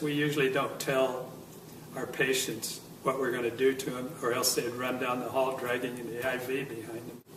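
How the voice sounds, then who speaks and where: With an American accent, a medium-pitched man speaks at a moderate pace in a flat monotone, with noticeable background noise and audible room echo. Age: 70s. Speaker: near-death experiencer. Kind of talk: testimony. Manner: halting, with many fillers.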